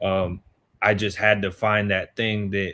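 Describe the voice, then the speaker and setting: A man with an American accent and a fairly low pitch speaks at a fairly slow pace in a monotone, flat intonation. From Chesapeake, Virginia, US. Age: 20s. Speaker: youth sports coach and mentor. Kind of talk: talk show interview.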